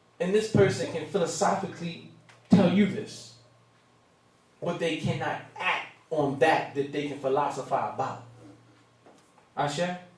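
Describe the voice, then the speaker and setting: Amid noticeable background noise and audible room echo, a man with a fairly high voice speaks at a fairly slow pace, with ordinary pitch variation and long, frequent pauses. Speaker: minister. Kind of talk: sermon. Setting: room with live audience.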